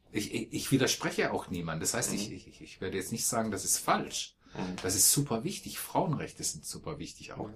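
There is a somewhat breathy quality to this man's voice. His intonation rises and falls in a lively way. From Baden, Malsch south of Karlsruhe. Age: 50s. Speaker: poetry slam performer and organizer. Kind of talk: interview, casual conversation. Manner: hesitant, frequent fillers.

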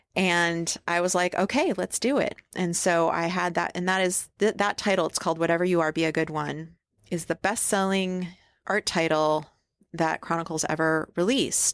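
A woman with a plain, everyday voice speaks at a moderate pace, her pitch fairly low and her intonation fairly even. Her loudness stays very even, and the sound is dry and close with no echo on a very clean recording over a silent background. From upstate New York. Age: 50s. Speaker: artist and illustrator. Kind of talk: interview conversation. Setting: podcast lounge at a conference.

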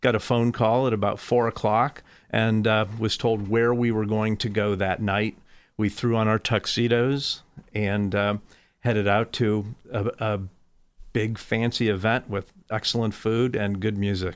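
With an American accent, a man talks at a fairly slow pace and fairly low pitch in a monotone, flat intonation, his loudness very even, on a very clean recording with a silent background. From Fort Wayne, Indiana. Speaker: local business owner. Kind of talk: casual interview.

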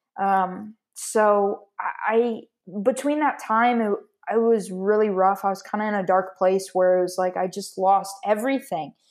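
In an American accent, a woman talks at a fairly slow pace in an ordinary speaking voice of medium pitch, on a very clean recording with a silent background. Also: fairly even intonation. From Florida. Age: 20s. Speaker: company founder and patient advocate. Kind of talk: interview testimony.

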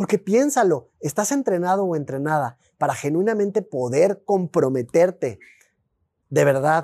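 A man's fairly slow delivery with very wide pitch swings. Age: 40s. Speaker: podcast host and life coach. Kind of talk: solo podcast monologue.

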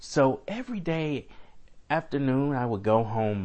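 At a fairly slow pace, a man talks in a normal speaking voice with lively intonation. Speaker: guest sharing personal story. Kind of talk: personal testimony, storytelling.

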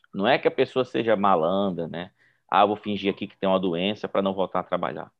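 A man with a Brazilian accent, fairly low pitch, ordinary pitch variation, a fairly quick pace and big swings in loudness. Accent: non-gaúcho Brazilian. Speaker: psychiatrist, professor. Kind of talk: panel discussion.

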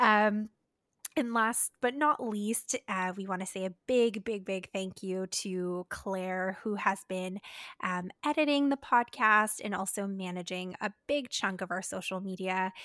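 On a very clean recording with a silent background, a woman's bright, sharp tone sits at medium pitch with ordinary pitch variation. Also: dry, close sound with no echo. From Canada. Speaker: dietitian and podcast co-host. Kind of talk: casual chat.

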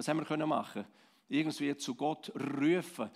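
With a Swiss accent, a man speaks at a moderate pace with fairly even intonation. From Switzerland, Romansh-speaking Graubünden. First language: Romansh (speaking German). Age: 50s. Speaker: pastor. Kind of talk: sermon.

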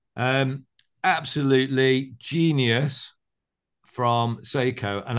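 A man speaks with an English accent at medium pitch. The background is quiet. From England. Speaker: watch podcast host. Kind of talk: casual chat. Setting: video call.

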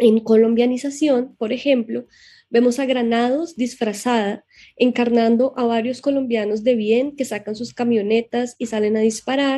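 Her fairly high voice has a dark, mellow tone and stays monotone and flat as she moves at a moderate pace. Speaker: podcast host. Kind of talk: scripted narration.

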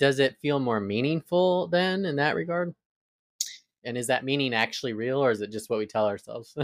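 Lively intonation marks this man's medium-pitched speech. He talks at a fairly quick pace in a plain, everyday voice. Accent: American. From Arizona. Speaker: podcast host. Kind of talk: interview.

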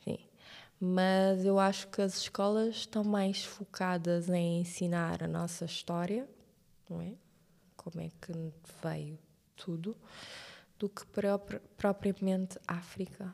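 At a very slow pace, a woman speaks in a flat monotone with a medium pitch and long, frequent pauses. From Cape Verde, Santiago (Cidade Velha). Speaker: TV presenter. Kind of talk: casual chat.

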